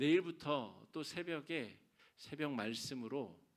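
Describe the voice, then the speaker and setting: A man speaks with lively, bouncing intonation. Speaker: pastor. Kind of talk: sermon. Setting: church.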